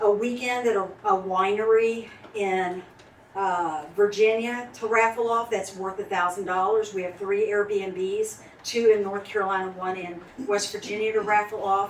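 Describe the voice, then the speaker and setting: There is noticeable background noise as a woman talks with monotone, flat intonation. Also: medium pitch for a woman, moderate pace. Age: 60s. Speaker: county party organizer. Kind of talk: speech at club meeting. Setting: restaurant meeting room with audience.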